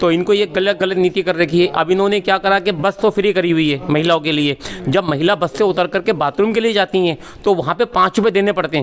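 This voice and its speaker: Over noticeable background noise, a man speaks at a high pitch with ordinary pitch variation and very even loudness. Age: 60s. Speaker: local voter, party supporter. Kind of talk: street interview. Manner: animated.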